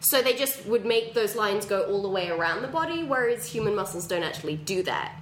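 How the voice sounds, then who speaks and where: A woman's medium-pitched voice at a fairly quick pace, with very wide pitch swings and noticeable background noise. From England. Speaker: comedian. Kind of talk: casual chat.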